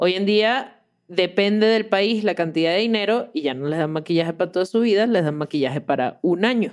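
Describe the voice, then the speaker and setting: Fairly quick speech from a woman at medium pitch, hardly any pauses, a normal speaking voice. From Venezuela, Caracas. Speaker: podcast host and producer. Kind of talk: casual chat.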